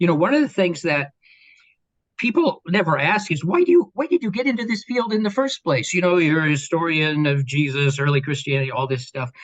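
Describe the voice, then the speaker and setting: Fairly quick male speech, high in pitch, with very wide swings up and down. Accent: Midwestern US. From Kansas. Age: 60s. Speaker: professor. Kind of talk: interview.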